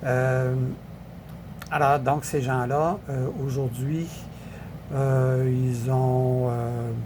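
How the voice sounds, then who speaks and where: A man talks with a Quebec accent at a very slow pace. The room echo is audible. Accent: Québécois French. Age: 70s. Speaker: political commentator. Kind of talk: casual political commentary. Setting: social media video. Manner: halting, many fillers.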